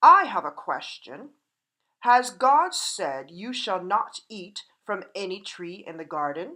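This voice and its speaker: Someone speaks in a put-on character voice at a fairly slow pace. Hissing runs through the clip. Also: woman, medium pitch for a woman. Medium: read story. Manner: hissing, proud.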